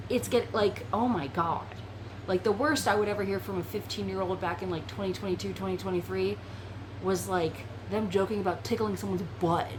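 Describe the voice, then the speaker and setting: A woman talks fairly quickly while noticeable background noise and audible room echo fill the recording. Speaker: VRChat content creator. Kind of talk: casual chat.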